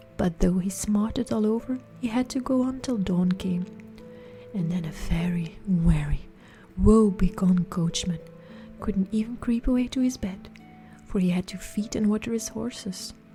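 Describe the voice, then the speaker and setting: Over music in the background, a woman of medium pitch talks at a moderate pace with ordinary pitch variation and long, frequent pauses. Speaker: ASMR storyteller. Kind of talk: fairytale reading. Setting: studio. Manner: soft-spoken, relaxing.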